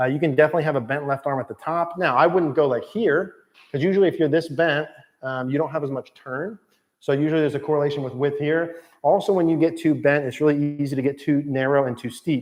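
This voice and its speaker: Fairly high-pitched and fairly even in intonation, a man talks at a very fast pace. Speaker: golf coach. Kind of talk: live stream Q&A. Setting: indoor golf studio.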